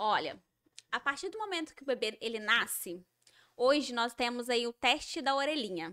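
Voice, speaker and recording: A woman speaks with a mineiro accent at a moderate pace. Her voice is high-pitched and bright and sharp in tone, with lively intonation. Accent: mineiro accent, kept. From Minas Gerais, Brazil. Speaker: educator of deaf children. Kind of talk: podcast interview.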